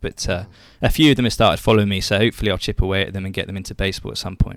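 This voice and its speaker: A man with an English accent, fairly low in pitch, talking at a very fast pace with ordinary pitch variation. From England. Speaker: baseball social media personality. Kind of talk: interview.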